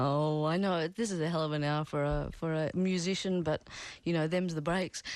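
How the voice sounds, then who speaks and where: A woman's fairly low-pitched voice at a moderate pace, very even in loudness, with an Australian accent and a quiet background. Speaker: radio host. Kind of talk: radio interview. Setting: radio studio.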